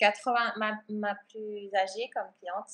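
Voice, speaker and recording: A woman speaks at a very slow pace and medium pitch. Her intonation is flat and monotone. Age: 40s. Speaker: art and yoga therapist. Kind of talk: interview. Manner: calm.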